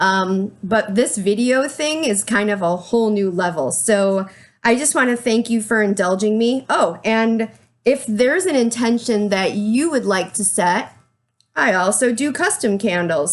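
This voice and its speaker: A woman's fairly high voice sounds shaky. Her intonation is lively and her pace moderate. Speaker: small business owner, candle maker. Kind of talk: product presentation to camera. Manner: shaky, nervous.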